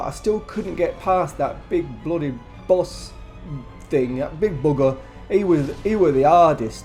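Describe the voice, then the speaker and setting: Over music in the background, a man with a British accent talks at a fairly slow pace. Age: 70s. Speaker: gamer. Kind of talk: casual talk to camera. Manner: hesitant, stammering.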